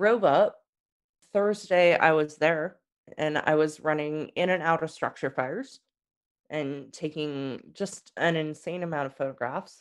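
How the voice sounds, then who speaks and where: A woman's very deep, low voice in an American accent, fairly slow, with ordinary pitch variation against a quiet background. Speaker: author and journalist. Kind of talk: casual chat, interview with swearing. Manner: animated, storytelling, profane.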